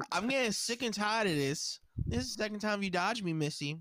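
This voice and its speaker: Animated and with lively intonation, a man speaks at a moderate pace in a bright, sharp tone. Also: very clean recording, silent background. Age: 30s. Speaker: podcast co-host. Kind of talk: casual chat.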